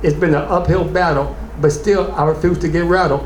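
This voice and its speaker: A man talks at an average speed amid clear background noise and noticeable room reverb. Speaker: spoken word poet. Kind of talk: spoken word performance.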